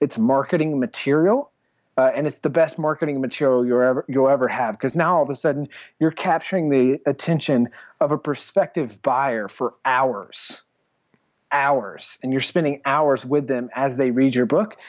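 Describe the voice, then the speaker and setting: In a plain, everyday voice, a man with an American accent talks at a moderate pace and a fairly high pitch with ordinary pitch variation, on a very clean recording with a silent background and a dry, close sound with no echo. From US South, South Carolina. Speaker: entrepreneur and author. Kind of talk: interview.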